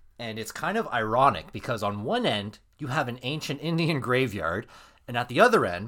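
Recorded very cleanly over a silent background, a man with a Canadian accent talks at a moderate pace in a bright, sharp tone. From Canada. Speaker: podcast co-host. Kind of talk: casual chat, storytelling. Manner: halting.

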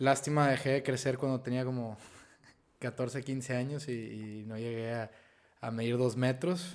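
A normal speaking voice with fairly even intonation at a fairly slow pace. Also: man, medium pitch for a man. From Piedras Negras, Coahuila, northern Mexico. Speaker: actor. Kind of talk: casual chat.

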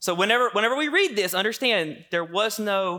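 A man in a Southern US accent speaks at a fairly quick pace with lively intonation and a bright, sharp tone. The recording is very clean, with a silent background. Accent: Southern American. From US South. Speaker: pastor. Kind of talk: sermon.

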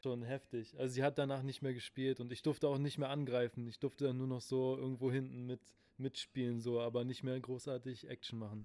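Dry, close sound with no echo, carrying a man's dark, mellow, medium-pitched voice in a flat monotone at a fairly quick pace. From Berlin (Spandau). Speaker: podcast host. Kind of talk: casual chat. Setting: recorded live in a late-night shop.

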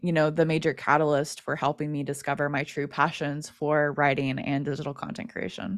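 Speaking with an American accent, a woman has a very deep, low pitch. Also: very clean recording, silent background. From US. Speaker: podcast host, interviewed as guest. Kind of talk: casual interview.

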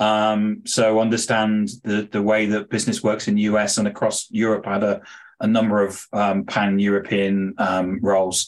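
A man with a British accent at a medium pitch and moderate pace, against a quiet background. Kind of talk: interview. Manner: hesitant, disfluent.

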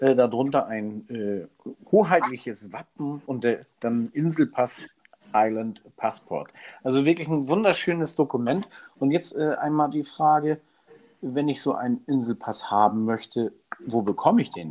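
A man talks at a fairly slow pace with a fairly high pitch and lively intonation. His is an unremarkable speaking voice. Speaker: podcast co-host. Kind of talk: casual chat. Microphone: new microphone, home-made studio.

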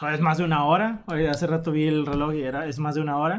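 A man's fairly high-pitched, fairly quick speech with fairly even intonation and a plain, everyday voice. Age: 20s. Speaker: podcast co-host. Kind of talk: casual chat.

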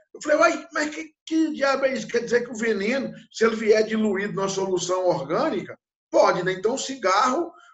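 The man's pitch is high and his intonation lively. He talks at a moderate pace. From Brazil, interior of Minas Gerais. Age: 50s. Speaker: animal science professor. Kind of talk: interview. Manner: halting, frequent fillers.

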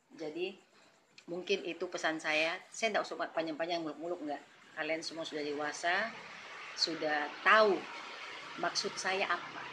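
At a moderate pace and with long, frequent pauses, a woman speaks in a fairly low voice over noticeable background noise. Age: 40s. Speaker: church elder and youth coordinator. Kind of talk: interview. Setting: podcast recording.

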